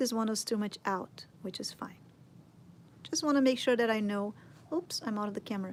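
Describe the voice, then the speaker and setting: A fairly high-pitched woman's voice in a Portuguese accent, with ordinary pitch variation. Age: 40s. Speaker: sculpting teacher. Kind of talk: tutorial. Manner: casual.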